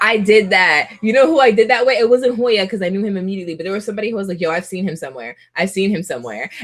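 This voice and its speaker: A woman at a very fast pace with lively intonation and hardly any pauses, amid noticeable background noise. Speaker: YouTuber doing a livestream chat. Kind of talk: casual livestream chat reading viewer comments. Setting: live video stream with webcam. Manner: halting, repeats words.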